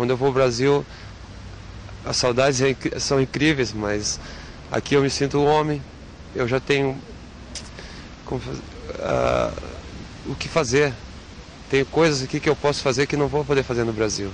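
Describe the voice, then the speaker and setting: Against noticeable background noise, a man speaks at a moderate pace with fairly even intonation and long, frequent pauses. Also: medium pitch for a man. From southern Brazil (Rio Grande do Sul). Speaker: footballer. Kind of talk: interview.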